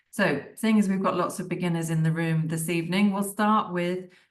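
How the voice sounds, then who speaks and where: A woman with a British accent speaks at a moderate pace in a fairly low voice with fairly even intonation. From United Kingdom. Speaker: digital marketing tutor. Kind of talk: webinar lecture. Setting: video call. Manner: casual and conversational.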